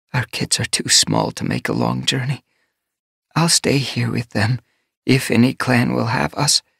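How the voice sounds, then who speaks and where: A man puts on a character voice that sounds raspy. He talks at a moderate pace. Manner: murmuring, distressed.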